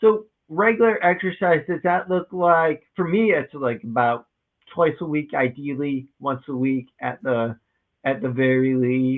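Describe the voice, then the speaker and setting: Spoken fairly slowly in an ordinary speaking voice, the lines carry lively intonation. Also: man, fairly high pitch for a man. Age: 30s. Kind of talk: interview conversation.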